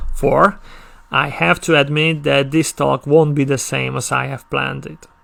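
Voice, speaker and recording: Speaking with a Hungarian accent, a man keeps a moderate pace. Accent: non-native English, Hungarian. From Hungary. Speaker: conference speaker. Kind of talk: conference talk. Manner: halting, with stammered restarts.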